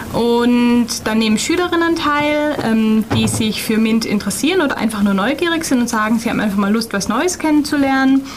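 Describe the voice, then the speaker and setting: A woman speaks with a high pitch and lively intonation at a fairly quick pace. Her loudness stays very even, and there is noticeable background noise. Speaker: project coordinator. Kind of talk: radio interview. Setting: studio.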